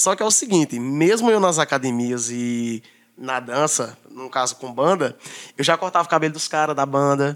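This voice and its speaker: A normal speaking voice from a man, fairly high in pitch, with lively intonation at a moderate pace. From Brazil, Northeast (Paraíba). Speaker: barber and entrepreneur. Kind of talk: casual chat.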